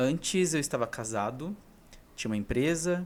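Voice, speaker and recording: His pitch rises and falls in an ordinary way. The voice is a man's. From interior of São Paulo state, Brazil. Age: 30s. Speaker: vlogger. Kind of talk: casual personal vlog monologue. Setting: talking alone to camera. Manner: unscripted, single take with some hesitations.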